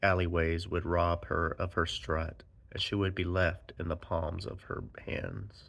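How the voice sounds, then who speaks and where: A man talks at a fairly slow pace in a very deep, low voice. His intonation stays monotone and flat on a very clean recording with a silent background. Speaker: poet and anthology editor. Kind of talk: poetry reading.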